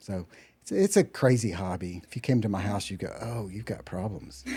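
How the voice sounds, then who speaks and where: A man with a Texan accent and a dark, mellow tone talks at a fairly quick pace. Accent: Texas accent, noticeable outside Texas. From Texas, Dallas-Fort Worth area. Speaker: musician. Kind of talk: interview.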